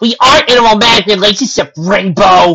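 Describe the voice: Doing a put-on character voice, a woman talks at a fairly quick pace and medium pitch, her bright, sharp tone carrying vocal fry and a slightly husky edge, with ordinary pitch variation.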